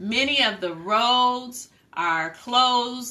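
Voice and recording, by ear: A woman's bright, sharp tone carries ordinary pitch variation.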